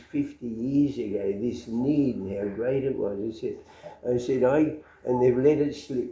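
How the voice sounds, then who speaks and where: A man with an Australian accent at a moderate pace. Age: 80s+. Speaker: lay missionary. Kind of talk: interview answer.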